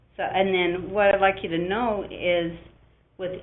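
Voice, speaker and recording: With audible room echo, a woman talks at a moderate pace using ordinary pitch variation. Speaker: application scientist manager. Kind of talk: webinar presentation. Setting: online webinar.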